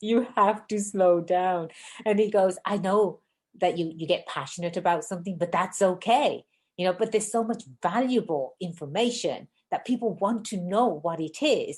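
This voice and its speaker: A woman talks at a moderate pace in an ordinary speaking voice. Her pitch is medium, with ordinary variation. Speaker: podcast host, business lawyer. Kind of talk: podcast interview. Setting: video call.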